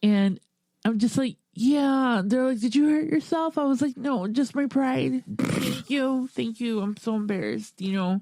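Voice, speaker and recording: A woman's fairly high, mumbling voice at a fairly slow pace, with ordinary pitch variation. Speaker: podcast host. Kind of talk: casual chat.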